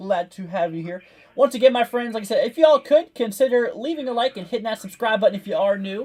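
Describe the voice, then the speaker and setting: A man with an extremely high pitch and ordinary pitch variation, at a very fast pace. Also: big swings in loudness. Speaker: severe weather livestreamer. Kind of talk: live weather commentary. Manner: casual, rambling with fillers.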